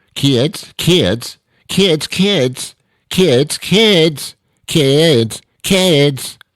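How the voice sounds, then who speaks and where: A man puts on a character voice, pitched fairly high. He talks very slowly with lively intonation. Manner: exasperated, trying to get attention.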